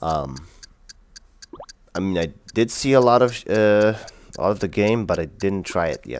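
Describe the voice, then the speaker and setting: With a non-native accent, a man speaks at a moderate pace in a fairly low pitch, his intonation lively and broken by long, frequent pauses. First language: not English. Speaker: gaming streamer. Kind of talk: casual live stream commentary. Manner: casual, filler-heavy.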